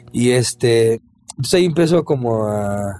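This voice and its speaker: A man's dark, mellow voice at a medium pitch with lively intonation. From Mexico, Zapopan (Guadalajara area). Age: 40s. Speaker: ska-punk singer. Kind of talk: casual chat.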